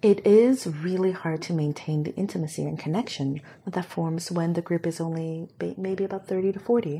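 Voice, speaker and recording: A woman speaks in a normal speaking voice at a moderate pace. Her pitch is fairly low, with ordinary variation. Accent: American. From Hong Kong then US from age six. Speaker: community director. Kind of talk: casual interview chat.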